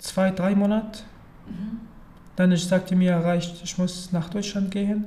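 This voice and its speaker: In an Arabic accent, a man speaks with a high pitch, a dark, mellow tone and monotone, flat intonation. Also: fairly slow pace. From Syria. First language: Arabic (speaking German). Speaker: refugee. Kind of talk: interview. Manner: halting.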